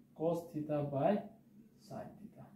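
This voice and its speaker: This man's voice sits fairly high in pitch and has a dark, mellow tone. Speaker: maths teacher. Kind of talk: tutorial.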